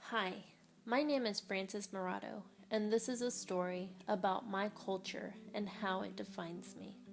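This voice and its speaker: Over music in the background, a woman of medium pitch talks at a moderate pace with fairly even intonation. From Puerto Rico. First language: Spanish. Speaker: student. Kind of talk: reading aloud.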